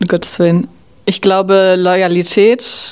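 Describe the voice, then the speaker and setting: Monotone, flat intonation at a fairly slow pace. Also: woman. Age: 20s. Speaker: generation Z interviewee. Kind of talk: interview answers.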